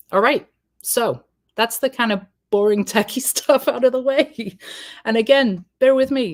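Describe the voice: A woman puts on a character voice that is husky and hoarse. She speaks at a moderate pace in a high pitch.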